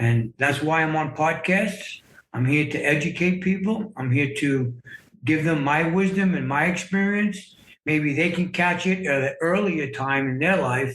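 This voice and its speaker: A man at a fairly high pitch and fairly slow pace, with very even loudness and ordinary pitch variation. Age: 60s. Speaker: memoir author sharing life story. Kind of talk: podcast interview, personal testimony. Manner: hesitant, many fillers and repeats.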